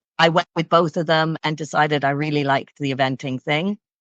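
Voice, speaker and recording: A woman talks with a slight Canadian accent against a quiet background. The sound is dry and close, with no echo. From Canada. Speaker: equestrian coach. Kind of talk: interview.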